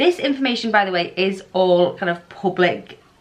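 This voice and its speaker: A woman speaks with a medium pitch. Noticeable background noise can be heard. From England. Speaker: foster carer vlogger. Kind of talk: casual informational vlog.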